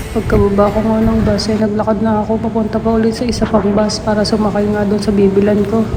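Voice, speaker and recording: Against noticeable background noise and audible room echo, a woman of medium pitch talks at a fairly quick pace in a monotone, flat intonation. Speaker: vlogger. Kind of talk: vlog narration. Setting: outdoors.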